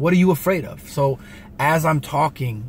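Over light background noise, a man talks at a moderate pace with lively intonation. His voice is somewhat breathy and the sound is dry with no echo. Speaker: vlogger. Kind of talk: casual vlog chat, motivational. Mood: earnest, heartfelt. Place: car. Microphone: phone near.

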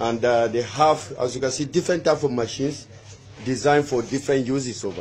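A man talks at a fairly quick pace with medium pitch and a slightly mellow tone. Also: ordinary pitch variation.

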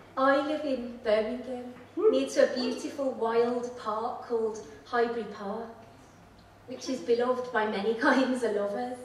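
Amid audible room echo and light background noise, a woman speaks at a moderate pace. Her pitch is high and her intonation fairly even. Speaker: poet. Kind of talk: poetry reading with chatty, humorous intros. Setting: stage with audience. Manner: warm, playful, lilting. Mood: warm, gentle, wry. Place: stage.

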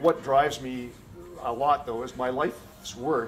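At a moderate pace and with fairly even intonation, a man talks over noticeable background noise. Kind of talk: interview answer. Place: office. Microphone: camera far.

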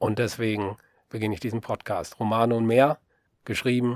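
A man speaks at medium pitch and a moderate pace, in a monotone, flat intonation. The sound is dry and close with no echo, in a very clean recording with a silent background. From western Germany, Rhineland (Solingen, Leverkusen). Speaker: novelist and podcaster. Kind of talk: podcast introduction monologue. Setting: home-built voice booth.

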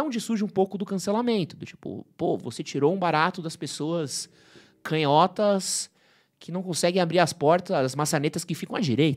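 The background is quiet as a man speaks at a moderate pace. His pitch is high. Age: 30s. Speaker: men's fashion and style presenter; presenter. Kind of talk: casual chat. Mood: relaxed, joking. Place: studio. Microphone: studio mic.

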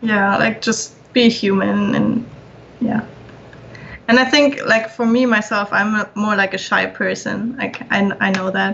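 Fairly slow, fairly evenly intoned speech from a woman with a fairly high pitch, against noticeable background noise. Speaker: concept artist. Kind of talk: casual chat. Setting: video call.

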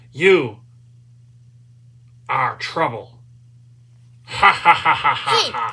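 A man's put-on character voice, high in pitch with a menacing tone and cackling, at a very slow pace with long, frequent pauses. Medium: audio drama. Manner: menacing, taunting, cackling.

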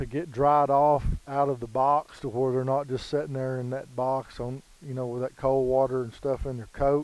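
The man's dark, mellow tone comes at a moderate pace, dry and without echo. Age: 40s. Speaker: retriever dog trainer. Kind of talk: casual tutorial. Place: waterside.

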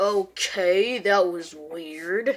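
The speaker uses a put-on character voice with ordinary pitch variation. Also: woman.

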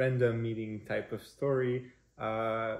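A man speaks with a Quebec accent. His pitch sits in the medium range. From Quebec, Montreal. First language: French. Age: 20s. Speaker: prospective parent. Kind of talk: personal introduction video. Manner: halting, many fillers. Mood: warm, relaxed, smiling. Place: kitchen. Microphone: camera far.

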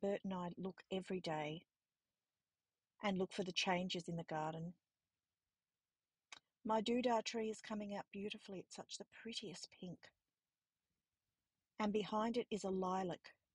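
A woman speaks at a moderate pace with fairly even intonation, leaving long, frequent pauses. Her voice is somewhat breathy, with a dry sound free of echo over a quiet background. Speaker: home vlogger. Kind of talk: casual vlog chat. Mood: warm, affectionate, cheerful. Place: garden. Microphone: phone near.

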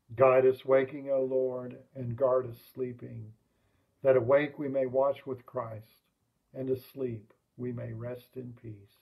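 Over a quiet background, a man with an American accent speaks at a fairly slow pace. His intonation is monotone and flat, while his loudness swings widely. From US South. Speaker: lay worship leader. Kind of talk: liturgical prayer service. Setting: online livestream. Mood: calm, solemn. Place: home room. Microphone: webcam.

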